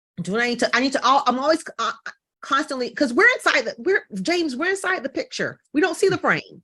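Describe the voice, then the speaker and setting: Raising and projecting her voice, a woman talks in an animated tone at a fairly quick pace, her high pitch moving through very wide swings. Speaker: business coach. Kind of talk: podcast interview. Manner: fast.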